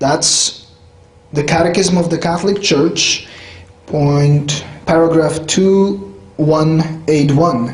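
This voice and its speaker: Very slowly and at very even loudness, a man with a Polish accent speaks at a fairly high pitch with ordinary pitch variation, amid audible room echo and noticeable background noise. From Poland, rural village. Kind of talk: lecture. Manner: conversational, with fillers.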